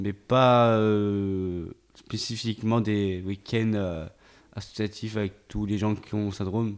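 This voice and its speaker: A man talks at a very slow pace in a fairly low voice with monotone, flat intonation. The recording is very clean, with a silent background. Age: young. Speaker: young man with Williams syndrome. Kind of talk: intimate interview. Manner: halting.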